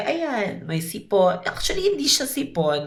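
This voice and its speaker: Audible room echo and noticeable background noise surround the voice. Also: woman. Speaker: makeup artist, vlogger. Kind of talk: casual vlog chat. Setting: indoors, doing makeup on camera.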